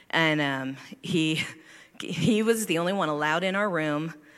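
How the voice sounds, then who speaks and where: Set in audible room echo, a woman with a very deep, low pitch speaks at a fairly slow pace. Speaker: church member. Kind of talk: testimony. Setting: church service.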